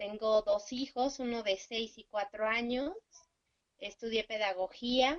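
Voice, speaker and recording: Recorded with a dry, close sound and no echo, a woman with a plain, everyday voice speaks at a fairly slow pace in a fairly high pitch with ordinary pitch variation. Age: 40s. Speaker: course coordinator. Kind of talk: class self-introduction. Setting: video call.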